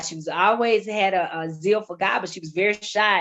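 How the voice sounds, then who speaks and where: With a strong Southern US accent, the speaker talks at a fairly quick pace and with ordinary pitch variation. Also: woman. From US South. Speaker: ministry founder. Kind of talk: testimony.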